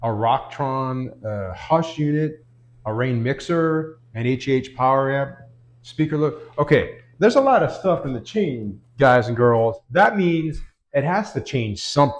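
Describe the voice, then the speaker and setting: A plain, everyday voice from a man, fairly high in pitch, with lively intonation, a fairly slow pace and a quiet background. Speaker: guitar tone tutorial youtuber. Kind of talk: tutorial.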